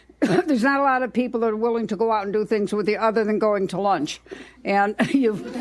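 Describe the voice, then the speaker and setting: A woman at a fairly high pitch and very fast pace, with ordinary pitch variation and noticeable background noise. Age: 80s+. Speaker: fishing club member. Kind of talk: casual interview.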